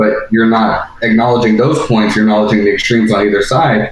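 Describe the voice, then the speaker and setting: A man's medium-pitched voice moves fairly quickly, with noticeable noise in the background. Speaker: caller. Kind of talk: heated debate. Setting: phone call.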